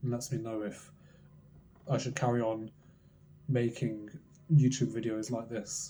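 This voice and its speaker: Quiet and somewhat breathy, a man speaks at a fairly slow pace in a dark, mellow tone. His pitch is medium, and his intonation is fairly even. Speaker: trading content creator. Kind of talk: motivational monologue.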